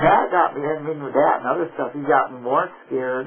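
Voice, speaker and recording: Noticeable background noise runs under a man's voice. He speaks at medium pitch and a moderate pace with fairly even intonation. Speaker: military veteran; activist. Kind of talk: conversation in a counseling session. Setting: recorded counseling session, covert audio. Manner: hesitant, anxious, rambling.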